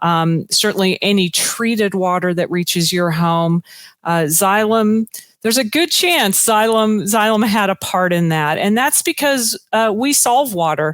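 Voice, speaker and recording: With an American accent, a woman uses an ordinary speaking voice at medium pitch, talking fairly slowly with lively intonation and very even loudness. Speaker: corporate sustainability director. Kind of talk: conference presentation.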